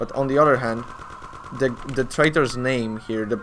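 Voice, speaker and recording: The speaker has a Polish accent. Noticeable background noise is present. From Poland. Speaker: speedrunner. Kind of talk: live gameplay commentary. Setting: live charity stream. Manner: halting.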